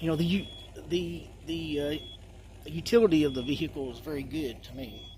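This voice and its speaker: A man's fairly quick, fairly evenly intoned speech amid noticeable background noise. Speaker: vehicle owner vlogger. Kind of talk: casual show-and-tell. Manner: halting.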